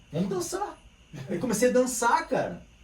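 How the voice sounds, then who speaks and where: Through noticeable background noise and audible room echo, a man speaks at a fairly quick pace. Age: 50s. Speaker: capoeira teacher. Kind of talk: casual chat. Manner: animated.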